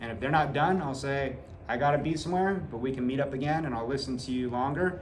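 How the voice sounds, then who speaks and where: This man talks at a very fast pace in a fairly high pitch, with ordinary pitch variation. Audible room echo and noticeable background noise come through. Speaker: middle school teacher. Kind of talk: back to school night presentation to parents. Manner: casual, uses many filler uhs.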